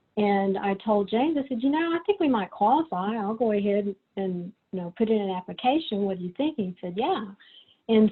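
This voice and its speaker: A woman's medium-pitched voice in a Texas accent, with lively intonation and a moderate pace. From Texas, Corpus Christi. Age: 60s. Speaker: writer and photographer. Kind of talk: presentation. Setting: video call. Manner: casual, with many fillers.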